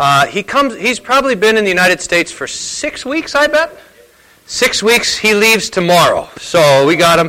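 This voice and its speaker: A man speaks in a raised, projected voice with a high pitch. His pitch swings very widely at a moderate pace. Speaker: church host introducing speaker. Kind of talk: introduction and announcements. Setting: church gathering.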